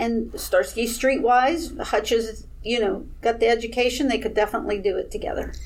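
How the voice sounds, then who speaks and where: A woman with a plain, everyday voice speaks at a moderate pace with a fairly high pitch, ordinary pitch variation, and hardly any pauses. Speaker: fan and vidder. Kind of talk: panel discussion.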